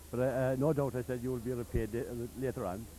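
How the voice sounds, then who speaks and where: A man in a Cork accent speaks at a very fast pace and a medium pitch. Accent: Cork Irish. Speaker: charity branch chairman and event organiser. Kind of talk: on-location interview. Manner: halting, with many fillers.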